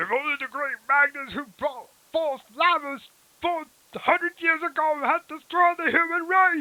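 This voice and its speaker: This put-on character voice is pitched high and moves at a moderate pace. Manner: silly, goofy.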